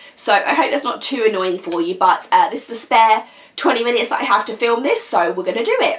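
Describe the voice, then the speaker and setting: Over noticeable background noise, a woman with a British accent speaks in a high, animated voice. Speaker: nail polish vlogger. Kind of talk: casual product review. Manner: chatty, animated.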